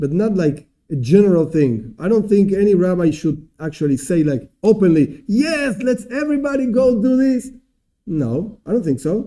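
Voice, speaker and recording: Speaking with a non-native accent at a moderate pace, a man uses a dark, mellow tone at a high pitch with very wide pitch swings. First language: not English. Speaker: rabbi teaching a class. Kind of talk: lecture. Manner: halting.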